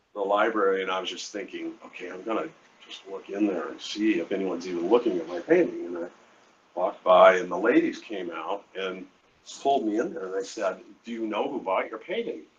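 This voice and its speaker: Talking at a fairly quick pace, a man with an American accent has big swings in loudness. Noticeable background noise runs underneath. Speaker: artist. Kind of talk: interview. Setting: live event. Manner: halting.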